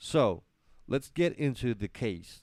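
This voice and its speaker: A man speaks very slowly with a Spanish accent and lively intonation at a medium pitch. The recording is very clean, with a silent background. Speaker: live stream host. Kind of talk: live stream monologue. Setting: live stream. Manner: halting, many fillers and self-corrections.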